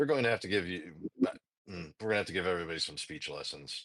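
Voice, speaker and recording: In a put-on character voice, a man talks very fast with a raspy, very deep, low pitch. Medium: actual play. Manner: formal, stilted phrasing.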